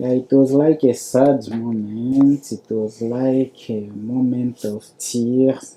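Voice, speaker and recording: Very slow delivery with hardly any pauses. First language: not English. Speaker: refugee. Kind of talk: testimony. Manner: halting.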